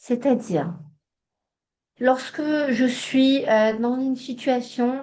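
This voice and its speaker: Speaking very slowly with a Hebrew accent, a woman shows ordinary pitch variation. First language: Hebrew (speaking French). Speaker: psychologist and trainer. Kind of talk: online training workshop. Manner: hesitant, many fillers.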